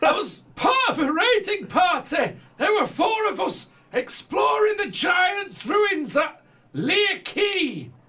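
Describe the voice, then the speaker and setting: Putting on a character voice, a man is shouting. The pitch he reaches is extremely high. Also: fairly slow pace. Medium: actual play.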